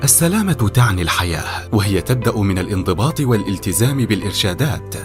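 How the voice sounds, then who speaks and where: Lively intonation from a man at a fairly low pitch, moderate pace, with music in the background. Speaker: voice actor. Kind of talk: public awareness ad narration.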